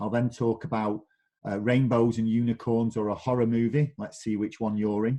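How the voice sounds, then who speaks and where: A man speaks with a Mancunian accent and fairly even intonation. His voice is fairly low in pitch, with a dark, mellow tone. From northern England, Manchester. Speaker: digital marketing director. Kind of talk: webinar presentation.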